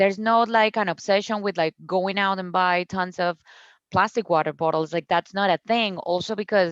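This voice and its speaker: A Colombian accent, dry, close sound with no echo, quiet background. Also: woman. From Colombia, Cucuta. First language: Spanish. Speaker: founder of a zero-waste store. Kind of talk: podcast interview. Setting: video call.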